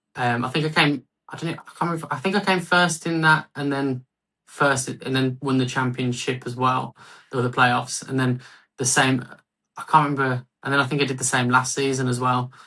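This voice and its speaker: Speaking with a Birmingham accent, a man has a medium pitch and a bright, sharp tone. He goes at a fairly quick pace with fairly even intonation over a quiet background. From Birmingham, English Midlands. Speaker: fantasy football league manager. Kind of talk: casual interview chat. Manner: halting, many fillers.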